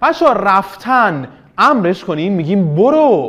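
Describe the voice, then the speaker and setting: A man's animated, high-pitched voice at a fairly slow pace, against a quiet background. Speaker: teacher. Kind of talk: online class lesson. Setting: online video lesson.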